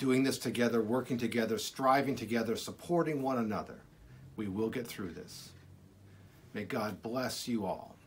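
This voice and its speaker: Over light background noise, the speaker keeps a moderate pace with ordinary pitch variation. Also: man. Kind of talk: pastoral message, sermon-like. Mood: warm, reassuring, hopeful. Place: office. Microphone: phone near.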